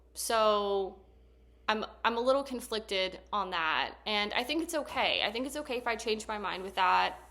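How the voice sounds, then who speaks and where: Bright and sharp in tone, a woman's fairly high voice moves at a moderate pace. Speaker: therapist and vlogger. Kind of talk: casual talking-to-camera vlog. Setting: sitting on couch at home. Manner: monotone; soft-spoken.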